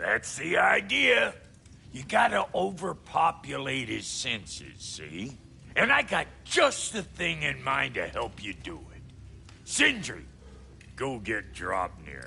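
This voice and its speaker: A man's put-on character voice at a fairly slow pace, with clear background noise. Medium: video game. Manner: blunt, streetwise.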